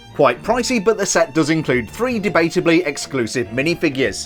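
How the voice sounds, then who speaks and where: Over music in the background, a man talks at a moderate pace in a fairly high pitch. His tone is upbeat, with very wide pitch swings. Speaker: LEGO reviewer. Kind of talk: product review narration. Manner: upbeat, jokey.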